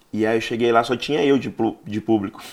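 Speaking at medium pitch with ordinary pitch variation, a man holds a moderate pace. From Bahia, Brazil, raised in Rio de Janeiro. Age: 40s. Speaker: stand-up comedian. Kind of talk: casual interview chat.

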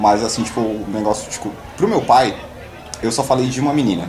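With audible echo in the room and noticeable noise in the background, a man speaks fairly quickly. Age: 20s. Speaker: stand-in co-host, podcast listener. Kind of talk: casual chat.

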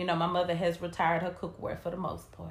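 A woman with an American accent speaks in a fairly low pitch, her tone animated and her voice somewhat breathy. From US South. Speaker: podcast co-host. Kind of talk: casual chat.

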